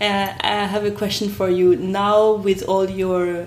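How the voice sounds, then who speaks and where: A woman with a French accent speaks at a very slow pace. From France. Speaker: podcast host. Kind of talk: casual interview conversation.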